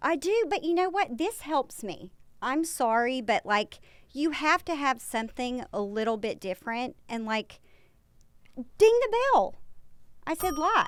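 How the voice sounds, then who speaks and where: A woman with a Texan accent talks at a high pitch and a fairly slow pace. Her pitch swings very widely, and she takes long, frequent pauses. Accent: Texas Southern accent, still noticeable. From East Texas. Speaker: publicist. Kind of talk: casual chat.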